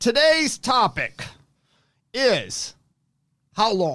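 A man's bright, sharp voice swings very widely in pitch. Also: very clean recording, silent background. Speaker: podcast host, treatment center executive. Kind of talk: casual chat. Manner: stumbling over words.

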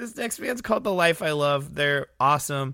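The recording is very clean with a silent background. A man speaks in a bright, sharp tone at a fairly quick pace. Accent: American. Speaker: music podcast host and musician. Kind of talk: casual solo podcast with song introductions.

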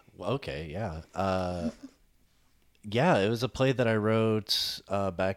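A man at a fairly slow pace, with ordinary pitch variation, on a very clean recording with a silent background. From Arkansas. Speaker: playwright and improv comedian. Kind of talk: casual chat.

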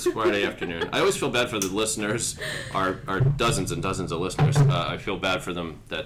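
Music plays behind the speaker, a man. His pitch swings very wide. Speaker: podcast host. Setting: studio podcast recording with guests. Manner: jokey, conversational.

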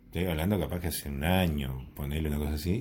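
Very clean recording, silent background, with a Uruguayan accent. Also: man. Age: 40s. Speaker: podcast guest. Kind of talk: casual chat. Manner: slow, calm speech.

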